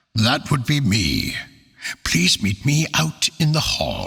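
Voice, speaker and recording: A man puts on a character voice at a fairly high pitch. He speaks at a fairly slow pace, his loudness very even. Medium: read story.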